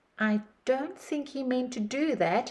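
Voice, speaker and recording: A woman performs a put-on character voice at a high pitch. Her pace is fairly slow. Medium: read story. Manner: nervous.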